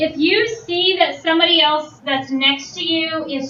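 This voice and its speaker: A woman speaks loudly and at a high pitch, with ordinary pitch variation. Room echo is audible. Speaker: teacher. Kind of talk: classroom instruction. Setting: classroom.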